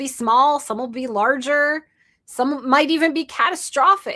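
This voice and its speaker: Her voice raised and projected, a woman speaks at a fairly slow pace with a high pitch, a bright, sharp tone and lively intonation on a very clean recording with a silent background. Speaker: entrepreneur and live streamer. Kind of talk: live stream monologue. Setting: live stream.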